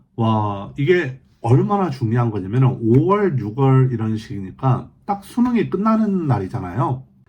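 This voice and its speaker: Somewhat breathy and pitched in the middle range, a man speaks with very wide pitch swings and hardly any pauses. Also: fairly slow pace. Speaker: vlogger on life in China. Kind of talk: casual news roundup. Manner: halting with self-corrections.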